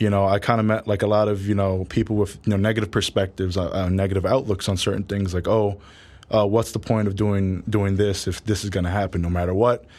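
A man speaks in a New York accent at a fairly quick pace. His pitch is fairly low, and his intonation is flat and monotone. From New York City, Harlem. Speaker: college football player. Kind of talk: interview.

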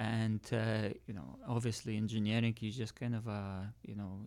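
At a fairly slow pace, a man speaks in a medium-pitched voice with monotone, flat intonation. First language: not English. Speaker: engineer turned e-commerce seller. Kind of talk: casual interview chat. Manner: soft-spoken.

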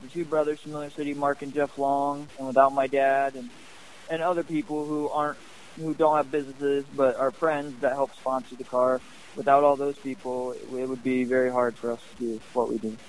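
Speaking at a fairly quick pace, a man with a fairly high pitch keeps his intonation fairly even while his loudness swings widely. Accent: American. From Northwest Ohio. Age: young. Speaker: sprint car racing driver. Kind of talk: interview.

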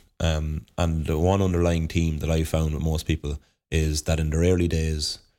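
In a very clean recording with a silent background, a man with an Irish Midlands accent speaks at a moderate pace in a very deep, low pitch, his dark, mellow tone flat and monotone. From Ireland, County Offaly. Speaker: inter-county Gaelic footballer. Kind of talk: casual interview. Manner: halting, many fillers.

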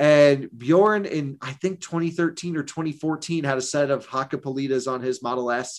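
In an American accent, a man uses a normal speaking voice at a fairly high pitch with ordinary pitch variation. He moves at a fairly quick pace, and the recording is very clean, with a silent background. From Vermont, US. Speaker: EV journalist and video creator. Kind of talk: interview.

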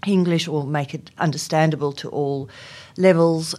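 A woman with a South African accent and a very deep, low pitch, at a moderate pace, in a very clean recording with a silent background. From South Africa, Afrikaans community. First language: Afrikaans. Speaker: HR executive. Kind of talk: interview. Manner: hesitant, many fillers.

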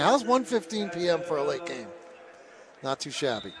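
A man with a relaxed tone and lively intonation at a moderate pace, with noticeable background noise. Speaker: radio play-by-play announcer. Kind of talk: live sports play-by-play commentary. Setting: courtside at a high school gym. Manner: chatty, relaxed between plays, with fillers.

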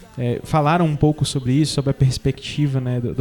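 Over noticeable background noise, a man with a medium pitch speaks very fast in a flat monotone. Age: 30s. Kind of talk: casual chat.

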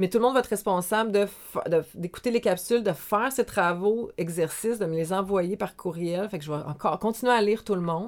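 A woman with an unremarkable speaking voice, medium pitch, ordinary pitch variation and a fairly quick pace. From Quebec, Montreal South Shore. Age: 40s. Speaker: life coach. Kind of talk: casual interview.

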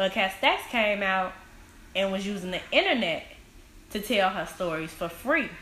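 Amid noticeable background noise and audible room echo, a woman with a medium pitch speaks with long, frequent pauses. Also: ordinary pitch variation, moderate pace. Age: 20s. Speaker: guest, social media personality. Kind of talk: casual chat.

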